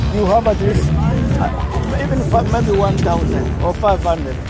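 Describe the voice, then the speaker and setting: Loud music playing behind a dry voice with no echo. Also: man. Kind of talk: casual conversation. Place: street. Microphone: phone near.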